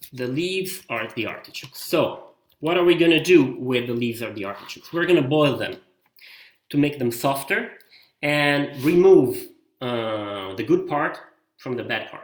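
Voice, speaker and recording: A man talks in an Italian accent with lively intonation and a fairly high pitch. There are long, frequent pauses and big swings in loudness. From Italy (Rome and Milan). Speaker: tour leader and local guide. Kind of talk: live online cooking class. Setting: home kitchen, live stream.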